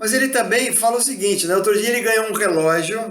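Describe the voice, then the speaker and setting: With audible room echo around him, a man speaks using lively intonation. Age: 60s. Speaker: spiritist lecturer. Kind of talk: religious talk. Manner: conversational, frequent fillers.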